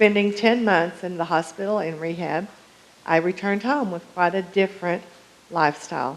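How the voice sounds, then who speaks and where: This woman has an unremarkable speaking voice, fairly low in pitch, with fairly even intonation and a moderate pace. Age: 60s. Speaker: public commenter at city council. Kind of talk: prepared public comment. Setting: city council meeting.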